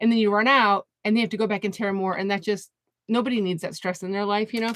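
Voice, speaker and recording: This woman sounds animated. Her pitch sits fairly high. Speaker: art teacher, craft tutorial host. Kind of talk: live craft tutorial. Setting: home craft studio, livestream. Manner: fast.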